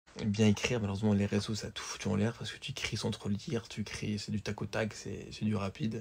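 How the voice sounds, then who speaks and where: Fast and flat, a man speaks in a somewhat breathy, fairly low voice with monotone intonation at a very fast pace. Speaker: vlogger. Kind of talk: casual vlog. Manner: hesitant, fillers.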